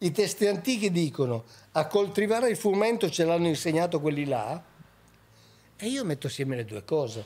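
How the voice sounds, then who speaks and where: A man with a high pitch speaks at a fairly quick pace, his pitch swinging very widely. Long, frequent pauses break up his speech. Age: 70s. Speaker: author and researcher of ancient texts; podcast guest. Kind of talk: podcast interview. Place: studio. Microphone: studio mic.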